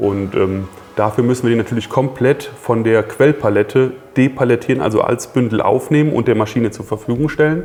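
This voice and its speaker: Fairly quick, medium-pitched male speech with ordinary pitch variation, noticeable background noise behind it. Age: 40s. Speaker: engineering project manager. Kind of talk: interview conversation. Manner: halting, many fillers.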